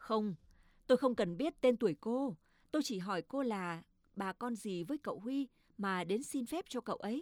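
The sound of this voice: The clip has an unforced reading voice.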